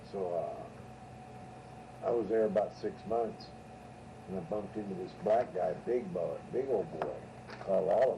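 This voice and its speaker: Through audible room echo and noticeable background noise, a man with an American accent talks at a fairly slow pace. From California, Ventura. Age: 60s. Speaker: storyteller. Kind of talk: casual storytelling.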